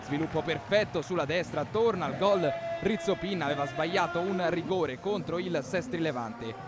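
A man with a high pitch speaks in an animated tone with ordinary pitch variation. Music plays in the background. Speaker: match commentator. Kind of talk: live sports commentary in highlights. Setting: voiceover on match highlights video. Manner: animated, fast, excitable play-by-play; rapid-fire, breathless, emphatic on goals.

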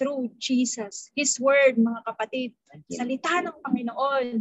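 The speech moves at a very slow pace. The sound is dry with no echo, over a quiet background. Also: woman. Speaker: preacher. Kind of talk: sermon. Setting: video call. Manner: formal; earnest. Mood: earnest, personal testimony. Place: home room. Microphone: webcam.

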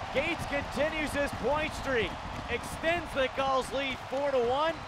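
Loud background noise surrounds a voice speaking at a fairly slow pace in a dry sound with no echo. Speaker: play-by-play announcer. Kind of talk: live hockey play-by-play commentary.

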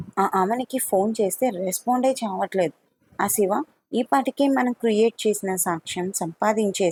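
Over a quiet background, this is plain reading aloud with ordinary pitch variation.

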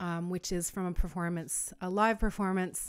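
A woman speaks at a moderate pace with a fairly low pitch. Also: quiet background. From Northwest Territories, Canada. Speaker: singer-songwriter. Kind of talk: casual talk to camera. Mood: warm, friendly. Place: home room. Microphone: studio mic.

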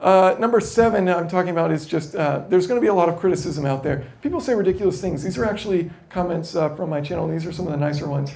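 Speaking with an American accent, a man talks at a very fast pace in a high pitch, with hardly any pauses. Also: ordinary pitch variation. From United States. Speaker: YouTube educator; presenter. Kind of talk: conference talk. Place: hall.

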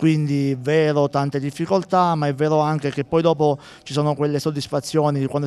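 A fairly high male voice with fairly even intonation. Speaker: town mayor. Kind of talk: live TV interview. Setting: outdoors at sporting event.

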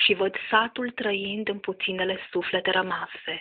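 This woman has an unremarkable speaking voice. She talks at a fairly slow pace with ordinary pitch variation. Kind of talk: poetry reading.

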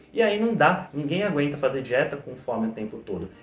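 A man's voice with audible room echo. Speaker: diet educator. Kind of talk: educational talk to camera.

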